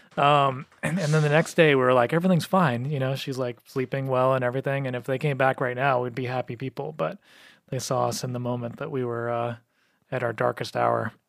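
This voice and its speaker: In an American accent, a man with a plain, everyday voice speaks at a fairly quick pace and medium pitch with ordinary pitch variation, recorded dry and close with no echo on a very clean recording with a silent background. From New Mexico, US. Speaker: podcast co-host. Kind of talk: casual chat.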